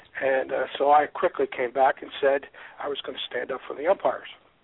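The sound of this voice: A man speaks at a fairly quick pace and a medium pitch, with little pitch movement. His voice has vocal fry and a slightly husky edge.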